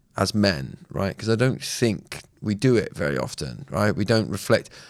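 A man with a southern English accent speaks at a moderate pace. The recording is very clean, with a silent background. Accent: southern English, West Country tinge. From southern England (Swindon). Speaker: podcast co-host. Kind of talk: casual chat.

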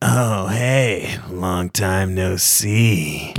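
A man in a put-on character voice, raspy, with a very deep, low pitch. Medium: actual play. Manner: casual, easygoing.

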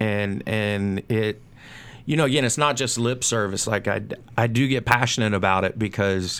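A man with a normal speaking voice, fairly low pitch and moderate pace, on a very clean recording with a silent background. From North Carolina. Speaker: cigar brand manager. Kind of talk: casual chat. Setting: studio.

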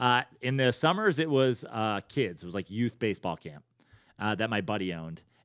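An unremarkable speaking voice from a man, medium in pitch with lively intonation at a moderate pace, on a very clean recording with a silent background and a dry, close sound with no echo. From New York, Westchester. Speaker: comedian. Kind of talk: casual chat.

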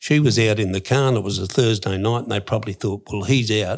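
Very fast speech from a man with an Australian accent, fairly low in pitch, on a very clean recording with a silent background. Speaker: former criminal. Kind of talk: interview storytelling. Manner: casual.

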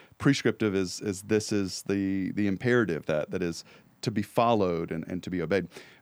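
A man with a normal speaking voice talks at a fairly quick pace and a fairly low pitch, with ordinary pitch variation. The recording is very clean, with a silent background. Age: 30s. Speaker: church podcast co-host. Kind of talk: casual chat. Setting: studio.

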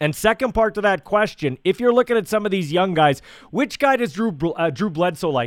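In a very clean recording with a silent background and a dry, close sound with no echo, a man with a high pitch speaks at a fairly quick pace with lively intonation. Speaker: radio host and podcaster. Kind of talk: interview intro and chat.

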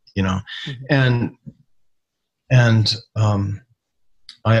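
A man's fairly low voice, somewhat breathy, rises and falls with ordinary pitch variation. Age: 60s. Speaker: retired aerospace scientist. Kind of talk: interview. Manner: halting.

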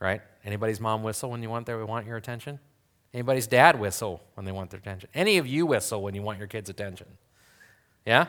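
Recorded very cleanly against a silent background, a man speaks at a very fast pace with medium pitch and ordinary pitch variation. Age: 40s. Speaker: pastor. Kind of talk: sermon.

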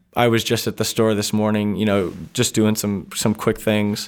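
In a very clean recording with a silent background, a man with an American accent talks in a fairly low pitch. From New Hampshire, US. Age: 20s. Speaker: bookstore owner. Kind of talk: interview.

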